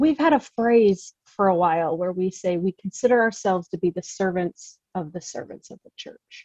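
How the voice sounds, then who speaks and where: A woman with an American accent speaks in an unremarkable speaking voice at medium pitch and a moderate pace, her intonation lively. The sound is dry and close with no echo, and her loudness swings widely. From US Midwest. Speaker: seminary program director. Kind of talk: casual interview.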